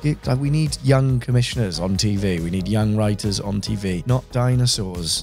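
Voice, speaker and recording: Speaking at a moderate pace with hardly any pauses, a man uses a fairly low pitch and lively intonation, the sound dry with no echo and faint music in the background. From England. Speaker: voice actor. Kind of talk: interview answer. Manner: casual, energetic. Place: studio. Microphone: studio mic.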